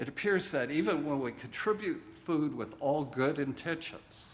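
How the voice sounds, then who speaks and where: A man with a fairly high pitch, lively intonation and a fairly slow pace, heard with audible room echo. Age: 60s. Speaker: minister. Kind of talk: sermon. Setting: church.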